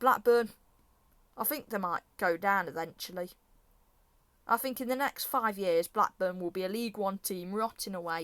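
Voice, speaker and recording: With an English accent, a woman speaks at a moderate pace and medium pitch with ordinary pitch variation and long, frequent pauses, the sound dry and close with no echo. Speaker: football predictions youtuber. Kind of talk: casual monologue. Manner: animated.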